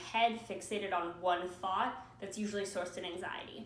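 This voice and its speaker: Pitch varies in an ordinary way as the talking moves fairly quickly. Background noise is noticeable throughout. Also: woman. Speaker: journalism student. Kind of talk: class presentation video. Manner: loud.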